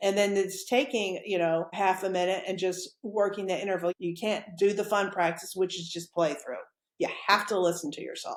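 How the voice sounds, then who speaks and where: A woman with an American accent, medium pitch and a moderate pace. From Texas. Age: 60s. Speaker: professional clarinetist. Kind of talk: interview conversation. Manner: animated.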